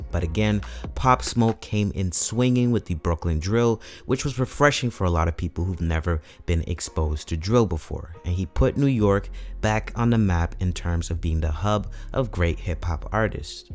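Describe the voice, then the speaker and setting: A man talks with lively intonation in a very deep, low voice. Music plays in the background. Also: moderate pace. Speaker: hip hop commentary host. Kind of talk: video essay narration.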